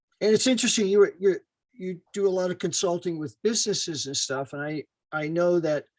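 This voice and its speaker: In a dry, close sound with no echo, a man speaks at a high pitch with ordinary pitch variation. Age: 70s. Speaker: audience participant in discussion. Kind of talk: panel discussion.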